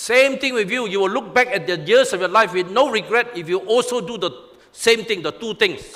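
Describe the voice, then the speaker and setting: With noticeable background noise, a man speaks at a fairly quick pace and high pitch with ordinary pitch variation. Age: 60s. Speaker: pastor. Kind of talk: sermon.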